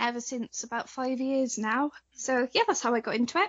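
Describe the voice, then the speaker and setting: Speaking at a fairly quick pace with a British accent, a woman keeps a high pitch and a monotone, flat intonation. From Wales. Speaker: cosplayer. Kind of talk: interview.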